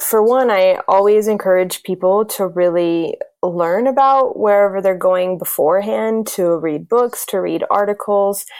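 Using a plain, everyday voice at medium pitch, a woman speaks at a fairly slow pace with hardly any pauses and ordinary pitch variation. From US South, South Carolina. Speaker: intercultural educator and consultant. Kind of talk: interview.

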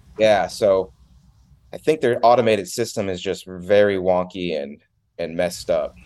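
An unremarkable speaking voice from a man with an American accent, fairly low in pitch, with ordinary pitch variation at a moderate pace. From Connecticut, US. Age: 20s. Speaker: phone reselling entrepreneur. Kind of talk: casual interview.

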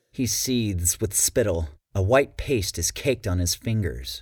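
A man speaks in a fairly low, somewhat breathy voice with a dramatic tone. The recording is very clean, with a silent background. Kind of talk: audiobook narration. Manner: dramatic, suspenseful narration; acts out a stuttering character.

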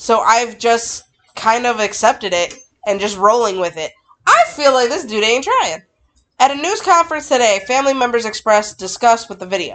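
A woman with a plain, everyday voice, fairly high in pitch, at a moderate pace with lively intonation. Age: 30s. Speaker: true crime podcast co-host. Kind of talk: reading aloud; casual chat. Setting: home recording on camera.

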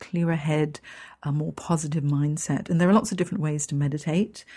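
A woman speaks with an English accent in a dark, mellow tone that is somewhat breathy. The recording is very clean, with a silent background. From Hong Kong. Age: 50s. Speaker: career coach. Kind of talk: podcast monologue.

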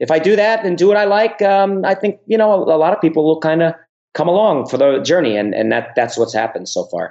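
Talking at a very fast pace with lively intonation, a man with a slight New York accent has a high pitch. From US Northeast (Bronx, New York; New Jersey). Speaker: YouTuber and realtor. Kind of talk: interview.

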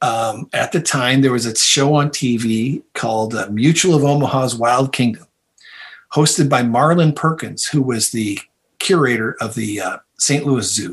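Somewhat breathy, a man speaks with an American accent. His pace is fairly slow. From US Midwest, Toledo, Ohio. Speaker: evolutionary biologist and author. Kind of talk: interview conversation.

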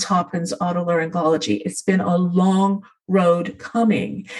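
Fairly even intonation in a somewhat breathy female voice of medium pitch. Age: 60s. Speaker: singing voice specialist and voice teacher. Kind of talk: casual interview chat.

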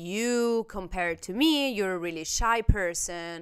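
On a very clean recording with a silent background, a woman speaks fairly slowly at a medium pitch in an animated tone. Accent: Italian. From Italy. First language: Italian. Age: 30s. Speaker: podcast host. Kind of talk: casual chat. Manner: loud.

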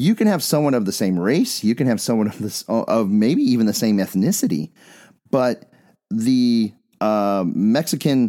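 A man talks at a moderate pace with an American accent. His medium-pitched voice has lively intonation. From Bisbee, Arizona, US Southwest. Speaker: podcast host. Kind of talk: casual conversational podcast discussion.

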